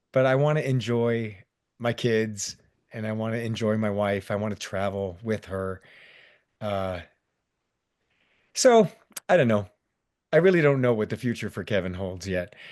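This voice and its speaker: In a quiet background, a man with a fairly low voice talks at a moderate pace with ordinary pitch variation and long, frequent pauses. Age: 60s. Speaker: theme park stunt performer. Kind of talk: casual chat.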